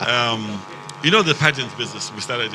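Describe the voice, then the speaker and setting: A man's medium-pitched voice with audible room echo and noticeable background noise. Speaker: pageant organizer, company president. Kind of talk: red carpet interview. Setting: red carpet at live event.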